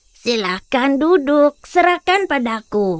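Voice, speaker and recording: A cartoonish character voice from a woman, pitched high. She speaks at a very slow pace. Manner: calm, terse, mysterious.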